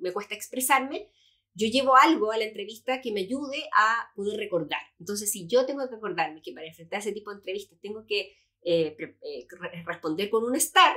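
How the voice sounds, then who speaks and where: A woman talks at a fairly quick pace in a bright, sharp tone, her fairly high pitch carrying lively intonation and big swings in loudness. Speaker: employability expert and career coach. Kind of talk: podcast interview. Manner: fast.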